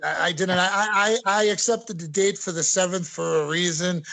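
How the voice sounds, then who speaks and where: With an American accent, the speaker uses ordinary pitch variation. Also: man. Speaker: professional wrestler. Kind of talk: interview. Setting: video call. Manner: halting, many fillers.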